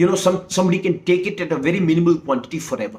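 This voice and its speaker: In an Indian accent, a man speaks at a very fast pace with a high pitch. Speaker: herbal medicine practitioner. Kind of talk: explanatory monologue. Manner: halting, many fillers and restarts.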